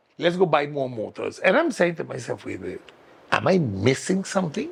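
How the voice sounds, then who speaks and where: A man speaks with a Sint Maarten accent at a moderate pace. His loudness swings widely from moment to moment. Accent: Caribbean (Sint Maarten) English. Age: 60s. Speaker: political candidate. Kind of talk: talk show interview.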